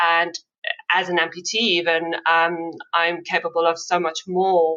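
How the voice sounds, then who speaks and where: The speech comes at a fairly slow pace in a flat monotone with a bright, sharp tone. Loudness stays very even throughout. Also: woman, fairly low pitch for a woman. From South Africa. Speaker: amputee ultrarunner. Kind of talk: interview, personal story.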